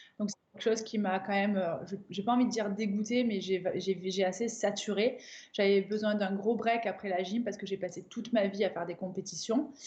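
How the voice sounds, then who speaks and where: Somewhat breathy, the voice goes at a fairly quick pace with fairly even intonation. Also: woman, medium pitch for a woman. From southern France, Avignon. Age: 30s. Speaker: crossfit coach and athlete. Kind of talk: interview.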